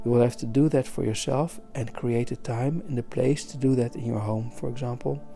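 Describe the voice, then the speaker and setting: A soft-spoken man talks at a fairly quick pace in a medium pitch. Music plays in the background. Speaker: art teacher. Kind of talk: soft-spoken talk for listening while drawing. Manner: calm.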